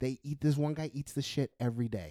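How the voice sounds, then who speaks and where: The dark, mellow tone comes at a moderate pace with a dry, close sound with no echo. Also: man. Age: 30s. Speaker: podcast guest, friend of host. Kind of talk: casual chat. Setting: home recording.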